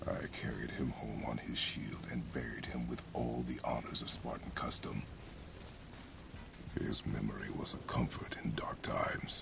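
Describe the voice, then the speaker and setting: Amid loud background noise, a man whispers in a put-on character voice at a moderate pace. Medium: video game. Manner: terse, grave.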